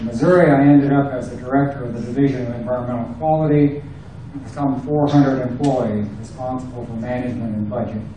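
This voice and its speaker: Over noticeable background noise and audible room echo, a man at medium pitch talks at a very fast pace with fairly even intonation and big swings in loudness. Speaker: election candidate, retired engineer. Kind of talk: candidate speech at public forum.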